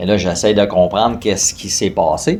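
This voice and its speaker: This man speaks with a Quebec accent. His pitch sits fairly low. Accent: Québécois French. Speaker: fitness company co-founder. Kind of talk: personal testimony interview. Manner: hesitant, many fillers.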